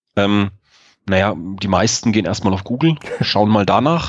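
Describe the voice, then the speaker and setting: A man's fairly low voice moves along at a fairly quick speed. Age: 40s. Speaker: sales director at a procurement software startup. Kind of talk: podcast interview. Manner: frequent filler hesitations (ähm).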